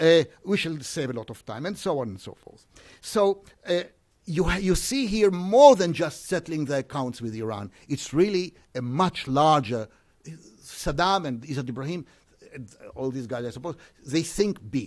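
This man's fairly high pitch moves in very wide swings, and his loudness rises and falls in big swings too. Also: moderate pace. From Israel. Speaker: professor. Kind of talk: conference talk.

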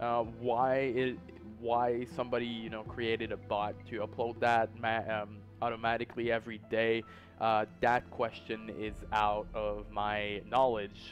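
Music plays in the background as a man speaks. His delivery is fairly slow, with a monotone, flat intonation. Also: medium pitch for a man. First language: not English. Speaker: YouTube host. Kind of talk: internet mystery narration. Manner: hesitant, many fillers.

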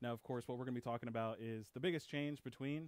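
A man's fairly even intonation in a dry sound with no echo. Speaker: tech support technician; video presenter. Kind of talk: webinar presentation. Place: studio. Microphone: headset.

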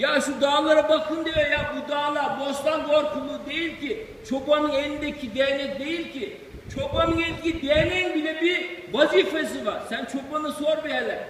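A man speaks with an Aegean accent at an extremely high pitch, his intonation fairly even. Noticeable background noise runs underneath. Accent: Aegean Turkish dialect. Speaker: retired imam. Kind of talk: informal religious talk after prayer.

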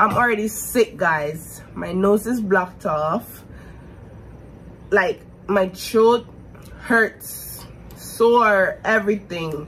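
With long, frequent pauses and light background noise, a woman speaks at a very slow pace with ordinary pitch variation. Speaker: vlogger. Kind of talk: casual vlog chat. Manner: congested, sick voice. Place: home room. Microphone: phone near.

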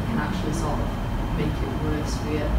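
Someone speaks at a fairly quick pace over loud background noise, with audible room echo. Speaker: young person sharing therapy experience. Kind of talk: interview testimony on stage. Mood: earnest, personal, reflective. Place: meeting room. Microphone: camera far.

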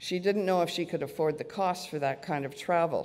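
Speaking at a moderate pace with ordinary pitch variation, a woman uses an unremarkable speaking voice set fairly low. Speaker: conference presenter. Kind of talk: lecture. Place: hall. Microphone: podium.

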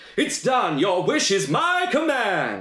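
A man's put-on character voice, high in pitch, with audible echo. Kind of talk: theatrical storytelling. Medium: read story. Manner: grand, booming. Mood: grand.

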